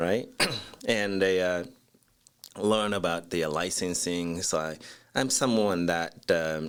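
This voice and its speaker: In a Japanese accent, a man with a very deep, low pitch speaks at a very slow pace with ordinary pitch variation and long, frequent pauses. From Japan, Osaka. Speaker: architect, design firm CEO. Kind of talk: interview.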